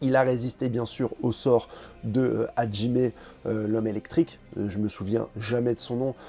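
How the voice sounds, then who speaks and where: A man with medium pitch and a dark, mellow tone speaks with ordinary pitch variation. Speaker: manga commentator YouTuber. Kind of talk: video commentary. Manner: hesitant with many fillers.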